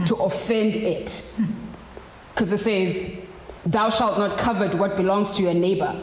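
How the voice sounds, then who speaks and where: The delivery is fairly slow, and noticeable background noise sits behind it. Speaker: poet. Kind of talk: spoken word poetry performance. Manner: rhythmic, emphatic with repetitions.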